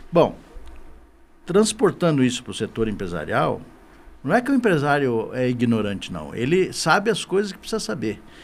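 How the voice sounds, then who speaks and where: Speaking at a moderate pace with long, frequent pauses, a man with a fairly high pitch and vocal fry swings his pitch very widely. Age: 60s. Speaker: business association director. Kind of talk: podcast interview. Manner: halting, repeats words.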